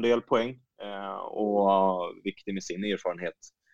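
Fairly low-pitched, a man's normal speaking voice with fairly even intonation, recorded dry and close with no echo. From Stockholm region, Sweden. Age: 30s. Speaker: women's football coach. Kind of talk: interview.

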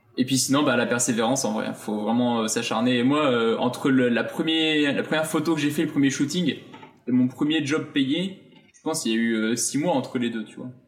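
This man's voice sits at a medium pitch with ordinary pitch variation, and there is noticeable background noise. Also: fairly quick pace. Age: 20s. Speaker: fashion model. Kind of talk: casual chat.

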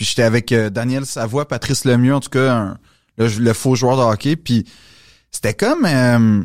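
A man with a Quebec accent speaks fairly slowly at a medium pitch, with fairly even intonation, in a dry, close sound with no echo. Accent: Québécois French. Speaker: comedian and actor. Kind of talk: casual chat. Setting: studio.

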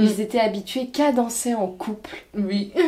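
Her fairly high-pitched voice moves at a fairly slow pace as this woman speaks with ordinary pitch variation. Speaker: podcast host. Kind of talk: casual interview. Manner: animated, laughs often.

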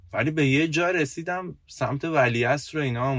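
Pitch varies in an ordinary way as the speech moves at a moderate pace. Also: man. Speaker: podcast co-host, IT worker. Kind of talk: casual chat. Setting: in a car.

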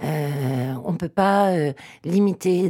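A woman's dark, mellow voice sits at a fairly low pitch with ordinary pitch variation. The recording is very clean, with a silent background. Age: 40s. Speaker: agronomist and author. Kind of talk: interview. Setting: studio.

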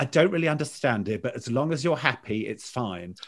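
On a very clean recording with a silent background, a man talks at a fairly quick pace in a normal speaking voice with ordinary pitch variation. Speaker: sports commentator and broadcaster. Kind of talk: casual interview chat.

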